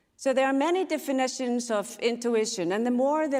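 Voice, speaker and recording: A woman with an Icelandic accent at a moderate pace, with noticeable background noise. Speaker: speaker on intuition and systems change. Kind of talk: conference talk.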